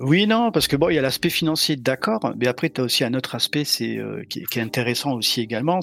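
Noticeable background noise sits behind a man who talks at a fairly quick pace with ordinary pitch variation. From southern France, Montpellier. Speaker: penetration tester and bug bounty hunter. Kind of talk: casual chat. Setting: live stream recording.

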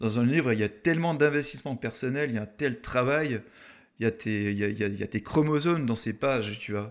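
A man with a normal speaking voice talks at a fairly quick pace and medium pitch, with ordinary pitch variation, in a very clean recording over a silent background. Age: 30s. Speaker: mountain photographer. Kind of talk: casual interview. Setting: in person at guest's home town.

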